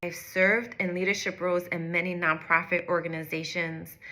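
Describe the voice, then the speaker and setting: A woman's fairly low-pitched voice at a moderate pace, an unremarkable speaking voice. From US, North Philadelphia. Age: 30s. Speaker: executive coach. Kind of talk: direct-to-camera personal story.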